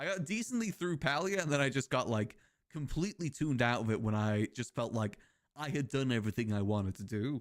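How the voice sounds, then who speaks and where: This man talks with a British accent at a fairly quick pace. His pitch sits in the medium range. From Britain. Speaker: video game streamer. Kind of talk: casual live-stream chat. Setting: live stream.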